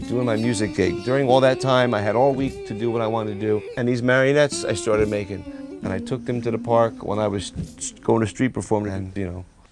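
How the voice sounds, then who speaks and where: A man's medium-pitched voice at a very fast pace, ordinary pitch variation, clear music in the background. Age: 50s. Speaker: street performer and puppeteer. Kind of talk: casual talk to camera, interview answer. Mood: candid, reflective, wry. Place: workshop.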